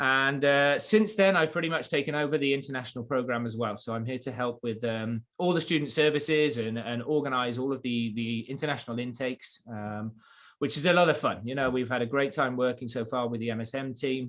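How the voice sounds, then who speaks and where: With an English accent, a man speaks at medium pitch and a fairly quick pace. His pitch varies in an ordinary way, with hardly any pauses. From England. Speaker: college international program coordinator. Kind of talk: webinar presentation. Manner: halting, many fillers.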